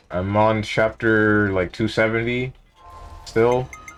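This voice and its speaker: Music plays in the background while a man speaks at a very slow pace and fairly low pitch, with ordinary pitch variation. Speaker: streamer. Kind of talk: casual gameplay stream commentary.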